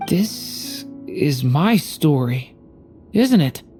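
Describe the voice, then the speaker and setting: A raspy, put-on character voice at a middle pitch. Clear music plays in the background. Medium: video game. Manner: soft, earnest.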